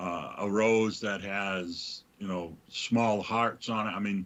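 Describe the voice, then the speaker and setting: A man speaks at a fairly low pitch in a New England accent. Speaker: livestream host. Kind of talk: casual chat.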